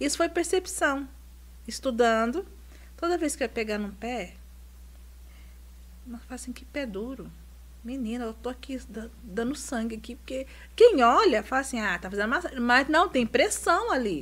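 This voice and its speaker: Her loudness swinging widely, a woman talks at a moderate pace with long, frequent pauses. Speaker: reflexologist. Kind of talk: casual chat. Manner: calm.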